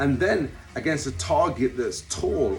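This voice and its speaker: A man's medium-pitched voice at a fairly slow pace, with audible room echo and music in the background. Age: 50s. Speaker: boxing coach. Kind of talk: instructional talk.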